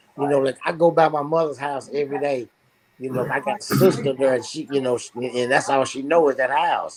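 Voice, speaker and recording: A normal speaking voice at a fairly quick pace, with fairly even intonation. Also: man, fairly high pitch for a man. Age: 60s. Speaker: talk show host. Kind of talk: casual chat. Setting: live online stream.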